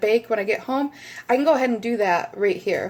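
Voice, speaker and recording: This woman's fairly high voice moves at a fairly quick pace and has ordinary pitch variation. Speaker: home product reviewer. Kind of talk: casual product demo. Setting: home kitchen. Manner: fast.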